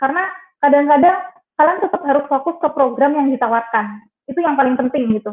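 A woman talks at a very fast pace. Her pitch is high. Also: ordinary pitch variation. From Trenggalek, East Java, Indonesia. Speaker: journalist. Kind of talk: webinar talk.

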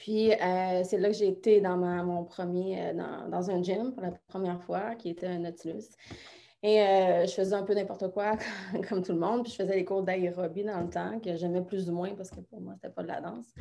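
A woman's dark, mellow voice at a moderate pace, with fairly even intonation. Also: medium pitch for a woman, big swings in loudness. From Quebec. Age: 30s. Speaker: fitness coach. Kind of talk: interview.

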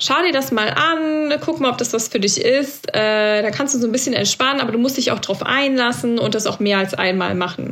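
Over noticeable background noise, a woman with a high voice speaks at a moderate pace and very even loudness. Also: ordinary pitch variation, hardly any pauses. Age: 30s. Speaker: podcast co-host, trainee yoga teacher. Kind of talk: casual chat.

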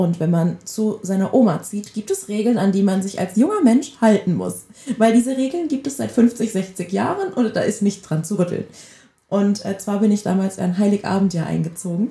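A woman speaks at a moderate pace in a medium pitch. She has an unremarkable speaking voice with ordinary pitch variation. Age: 20s. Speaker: podcast co-host. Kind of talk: casual chat.

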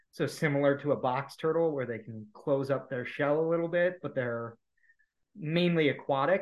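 Pitched fairly high, a man talks with a Midwestern American accent. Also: ordinary pitch variation, moderate pace. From US Midwest, Cleveland area, Ohio. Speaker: PhD student in conservation genetics. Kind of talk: casual interview.

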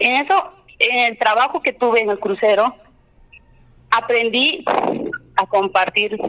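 A woman with a fairly high pitch speaks at a very slow pace, leaving long, frequent pauses. Her loudness stays very even, the sound is dry and close with no echo, and background noise is noticeable. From Peru, Cusco region (Limatambo). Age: 30s. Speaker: candidate for justice of the peace. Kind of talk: campaign interview.

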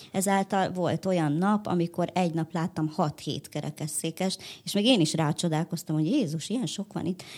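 Here a woman with a normal speaking voice talks at a moderate pace, fairly low in pitch with ordinary variation, on a very clean recording with a silent background. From Hungary. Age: 30s. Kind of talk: interview.

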